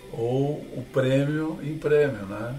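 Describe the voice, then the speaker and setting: Clear room reverberation and plenty of background noise around a man's speech. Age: 60s. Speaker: sailor and speaker. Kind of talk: interview.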